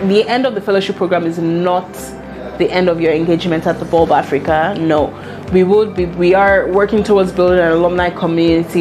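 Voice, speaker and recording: A woman's fairly low voice at a fairly quick pace, very even in loudness and fairly even in intonation, with clear music in the background. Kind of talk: interview answer. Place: office.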